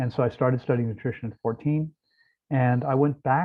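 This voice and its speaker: Spoken at a fairly quick pace with a Mid-Atlantic American accent, the voice shows ordinary pitch variation. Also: man. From US East Coast, outside Washington DC. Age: 60s. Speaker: raw vegan fasting center owner. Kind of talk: interview.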